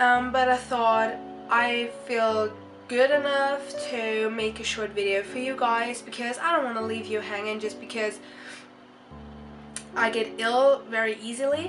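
A woman with a fairly high pitch speaks over music in the background, leaving long, frequent pauses. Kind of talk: casual talk to camera. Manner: frequent hesitations.

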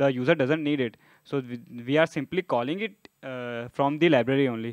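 The recording is dry with no echo, with a quiet background, as a man talks using ordinary pitch variation. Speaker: conference presenter. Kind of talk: technical talk with live demo. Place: hall. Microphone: podium.

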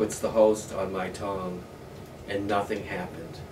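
Amid noticeable background noise, a man with an American accent talks fairly slowly at a fairly low pitch. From US Midwest, northwest Ohio. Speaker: oral history interviewee. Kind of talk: oral history interview. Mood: relaxed, reflective. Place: home room.

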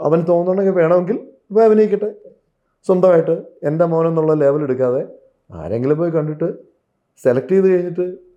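This man has a high pitch with ordinary pitch variation. His loudness stays very even. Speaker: film actor. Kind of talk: interview. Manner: halting.

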